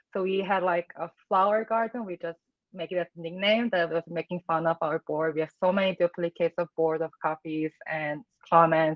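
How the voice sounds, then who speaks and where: The speech has a non-native accent, a moderate pace and fairly even intonation. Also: woman, fairly low pitch for a woman. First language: not English. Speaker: product designer. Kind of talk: casual interview.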